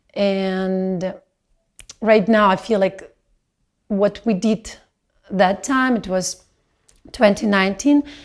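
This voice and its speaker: A woman with a non-native accent speaks very slowly at medium pitch, with fairly even intonation and long, frequent pauses. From Belarus. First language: not English. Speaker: dancer. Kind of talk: video testimony reflection. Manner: halting.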